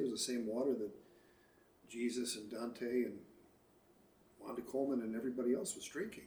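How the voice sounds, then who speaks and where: Audible room echo surrounds a man with an American accent who talks at a fairly quick pace with fairly even intonation. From Chicago, US Midwest. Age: 60s. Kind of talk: casual interview. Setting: at home by the lake.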